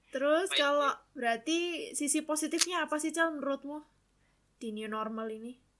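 Her voice high and showing ordinary pitch variation, a woman speaks with big swings in loudness. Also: fairly quick pace. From Indonesia, Surabaya (East Java). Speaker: student podcast co-host. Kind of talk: casual chat.

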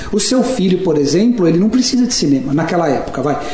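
Room echo can be heard as a man talks. Noticeable background noise is present too. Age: 40s. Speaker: communication and persuasion trainer, author. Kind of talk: casual chat. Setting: hosts' office.

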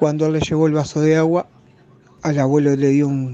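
Speaking at a moderate pace, a man with a Uruguayan accent keeps his intonation fairly even. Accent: Uruguayan Rioplatense Spanish. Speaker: listener. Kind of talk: testimony. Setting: recorded voice message.

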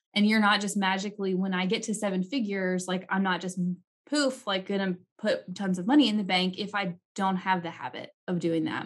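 A woman talks at a fairly quick pace, her voice somewhat breathy. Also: medium pitch for a woman. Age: 30s. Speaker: podcast host, CPA and CFO. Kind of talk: interview podcast. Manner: animated.

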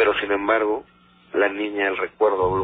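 Monotone, flat delivery from a man with a fairly low voice at a moderate pace. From Mexico City. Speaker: lawyer. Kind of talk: storytelling.

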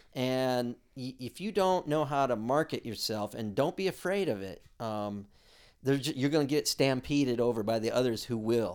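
A man with a normal speaking voice and medium pitch talks at a moderate pace with lively intonation in a very clean recording with a silent background. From US West Coast, South Bay Los Angeles. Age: 60s. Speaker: musician and music school owner. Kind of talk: interview.

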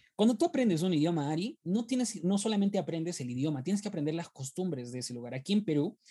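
Lively intonation runs through a man's voice, which has a dark, mellow tone. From Peru. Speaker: theologian. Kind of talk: casual chat. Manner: repetitive stammering.

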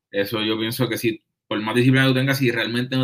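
With an ordinary speaking voice, this man sits at a medium pitch. His intonation is fairly even and his pace fairly quick. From Puerto Rico. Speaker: trumpet player. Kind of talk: casual chat. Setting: in person, recorded on laptop.

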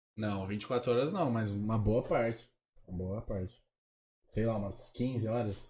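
Somewhat breathy and dark, mellow in tone, a man talks at a fairly slow pace with fairly even intonation and long, frequent pauses. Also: medium pitch for a man. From São Paulo state, Caieiras. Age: 20s. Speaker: social media influencer. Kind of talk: casual chat.

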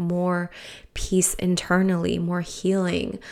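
With an American accent and a medium pitch, a woman talks over noticeable background noise. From Peru, raised in the US from age five. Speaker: podcast host on personal finance. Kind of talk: casual solo podcast monologue. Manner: chatty, many fillers and laughs.

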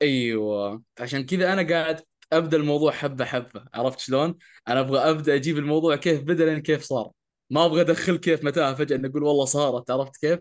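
A man speaks fairly quickly over a quiet background, his pitch fairly high with ordinary variation. He has an unremarkable speaking voice. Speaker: podcast co-host who stutters. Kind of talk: casual conversational podcast chat.

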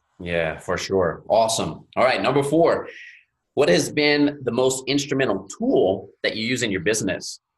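With an American accent and vocal fry, a man of medium pitch speaks at a moderate pace with lively intonation. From US South, Louisiana Gulf Coast. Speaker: podcast host. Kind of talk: interview.

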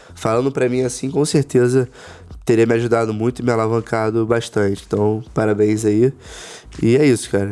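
A man speaks at a fairly quick pace and a medium pitch. His tone is dark and mellow, with fairly even intonation. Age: 20s. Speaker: startup founder and investor. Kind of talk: casual interview. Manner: halting with repeated filler words.

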